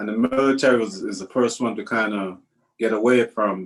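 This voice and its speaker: This man has a medium pitch and speaks with a Trinidadian accent. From Trinidad and Tobago. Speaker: retired army first sergeant, veteran. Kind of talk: oral history interview. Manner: halting, repeats words.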